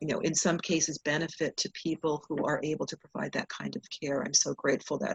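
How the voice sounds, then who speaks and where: A woman speaks fairly quickly with hardly any pauses, her very deep, low voice somewhat breathy. Her intonation is fairly even, and the sound is dry and close with no echo. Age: 60s. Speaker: hospice community educator. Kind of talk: interview conversation.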